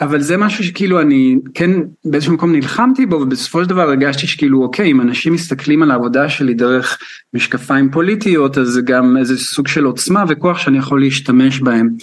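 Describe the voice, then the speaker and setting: At a fairly quick pace, a man talks in a fairly high voice with ordinary pitch variation and very even loudness. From Israel. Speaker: choreographer. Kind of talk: radio interview. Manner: halting.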